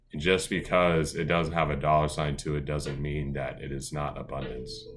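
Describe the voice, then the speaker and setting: A man speaks at a very deep, low pitch. Noticeable background noise runs underneath. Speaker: lifestyle vlogger. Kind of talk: casual vlog monologue. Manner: fast; animated.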